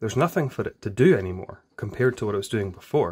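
Over a quiet background, a man speaks in a somewhat breathy voice. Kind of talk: tutorial. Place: workshop.

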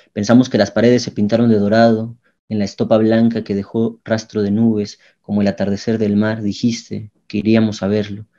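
A man's fairly low, dark, mellow voice, monotone and flat, at a fairly quick pace. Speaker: poet reading own poem. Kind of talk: poetry reading aloud, narrated poem. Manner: intimate, somber, halting with long pauses.

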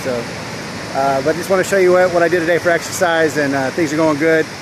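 Over noticeable background noise, a man speaks at a fairly quick pace in a monotone, flat intonation, the sound dry with no echo. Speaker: weight loss vlogger. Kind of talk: casual vlog chat. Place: beach. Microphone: phone near.

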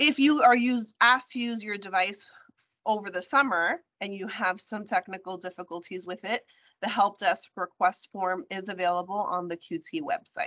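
Over a quiet background, a woman talks at a moderate pace with ordinary pitch variation and big swings in loudness. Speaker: presenter. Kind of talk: announcements presentation. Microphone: video call.

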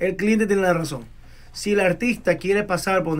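Using fairly even intonation, a man speaks at a high pitch. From Ecuador. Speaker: security instructor and executive protection specialist; interview guest, security instructor. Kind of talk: interview. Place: studio. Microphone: studio mic.

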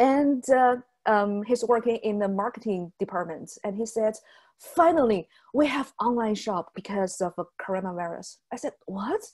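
A woman with a Chinese accent speaks at a fairly high pitch with ordinary pitch variation against a quiet background. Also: moderate pace. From southern China. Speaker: travel blogger; guest. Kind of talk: webinar presentation. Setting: video call. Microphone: webcam.

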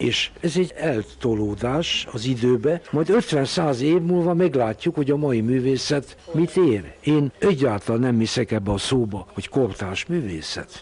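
Over noticeable background noise, a man talks at a very slow pace with hardly any pauses. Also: medium pitch for a man, lively intonation. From Hungary, Pécs. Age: 80s+. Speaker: psychoanalyst and art collector. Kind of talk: radio interview.

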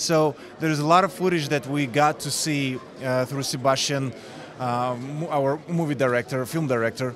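The man's intonation stays fairly even. His voice sounds dry with no echo, over noticeable background noise. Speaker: interviewee. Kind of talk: interview answer. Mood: relaxed, friendly. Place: hall. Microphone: handheld.

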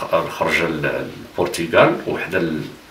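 A man's voice with audible room echo and light background noise. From Morocco, Khemisset; Morocco. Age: 60s. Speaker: futsal pioneer and retired teacher; retired teacher. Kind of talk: interview. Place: home room.

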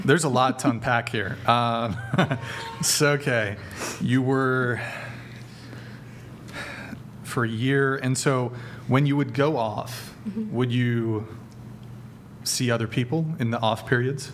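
Over light background noise, a man talks at a very slow pace, leaving long, frequent pauses. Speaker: show host. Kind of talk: interview questioning. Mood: amused, probing. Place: studio. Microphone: studio mic.

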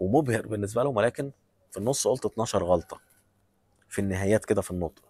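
A man's dark, mellow voice at a fairly low pitch, fairly quick in pace yet with long, frequent pauses, ordinary pitch variation, and a dry, close sound with no echo. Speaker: vlogger giving job advice. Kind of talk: advice monologue. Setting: airport.

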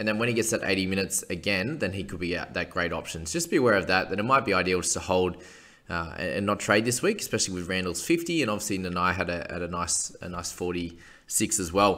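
The man's voice sits very deep and low. He talks fairly quickly. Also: ordinary pitch variation, hardly any pauses. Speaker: fantasy sports analyst. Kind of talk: commentary. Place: home room. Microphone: webcam.

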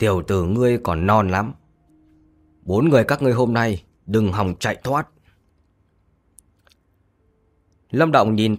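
Lively intonation marks this man's fairly low-pitched voice. His pace is fairly slow. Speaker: audiobook narrator. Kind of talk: audiobook narration of fantasy novel. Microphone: studio mic.

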